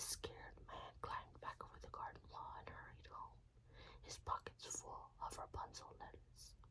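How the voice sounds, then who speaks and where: A woman whispers at a fairly slow pace. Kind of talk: whispered fairytale reading for sleep. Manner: whispered.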